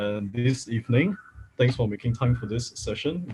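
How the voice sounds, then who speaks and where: A man's somewhat breathy voice sits at medium pitch. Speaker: data science workshop instructor. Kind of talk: online workshop lecture. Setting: livestream.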